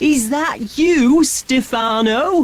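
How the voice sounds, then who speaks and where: A female-sounding put-on character voice is pitched high. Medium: read story.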